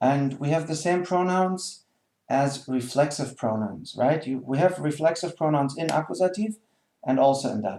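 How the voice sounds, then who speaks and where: In a German accent, a man talks at a moderate pace with a fairly high pitch, ordinary pitch variation and a dark, mellow tone. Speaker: German language teacher. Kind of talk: tutorial. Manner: hesitant, many fillers.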